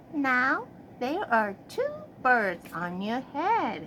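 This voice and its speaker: A woman puts on a character voice, high in pitch, with very wide pitch swings. She speaks at a very slow pace over clear background noise. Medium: read story. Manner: calm, cheerful.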